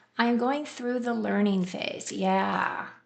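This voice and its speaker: A woman talks at a very slow pace, her words carrying audible room echo. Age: 60s. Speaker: tarot reader. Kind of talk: live stream tarot reading. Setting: live stream. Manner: casual, conversational.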